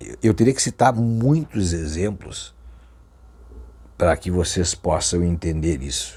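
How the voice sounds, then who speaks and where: This man has a very deep, low pitch and a dark, mellow tone that is somewhat breathy. He talks at a very slow pace with long, frequent pauses and big swings in loudness. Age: 50s. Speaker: Umbanda spiritual teacher. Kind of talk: religious talk to camera. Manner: halting.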